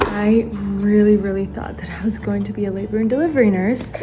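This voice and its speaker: There is music in the background and audible room echo. A woman speaks at a medium pitch with an American accent. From United States (immigrant family from Ukraine, Bulgarian parents). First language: Bulgarian and Russian. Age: 20s. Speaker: YouTuber and stay-at-home mom. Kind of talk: casual chat while doing makeup. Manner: casual, filler-heavy.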